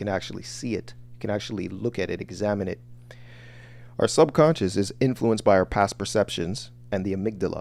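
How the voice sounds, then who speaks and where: A man with a fairly low pitch talks very fast, with very wide pitch swings. His voice shows vocal fry. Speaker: online business coach. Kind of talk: livestream lecture.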